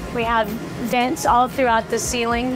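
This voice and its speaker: Music plays in the background while a woman talks. She keeps a moderate pace. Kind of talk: tour guide chat. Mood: warm, proud. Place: home room.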